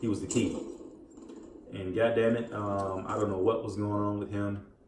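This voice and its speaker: Mumbling in a fairly low pitch, a man is heard with audible room echo and noticeable background noise. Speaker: gaming and sports commentary YouTuber. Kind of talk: casual commentary while gaming. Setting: home recording while playing video game. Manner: distracted, halting with fillers.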